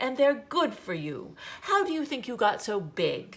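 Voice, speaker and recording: A woman puts on a character voice at a high pitch. She talks at a moderate pace. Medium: read story. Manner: brisk, scolding.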